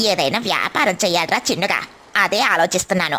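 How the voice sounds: In a cartoonish character voice, a woman speaks at a moderate pace and a medium pitch.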